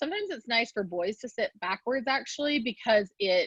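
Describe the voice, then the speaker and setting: A woman with a fairly high pitch and an unremarkable speaking voice talks at a moderate pace, the sound dry and close with no echo. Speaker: developmental specialist presenter. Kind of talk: lecture. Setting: virtual presentation.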